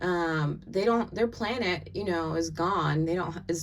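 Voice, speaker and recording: A woman speaks at a moderate pace in an American accent. Audible room echo surrounds her voice. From US South. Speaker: tarot and oracle card reader. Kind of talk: oracle card reading monologue. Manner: casual, filler-heavy.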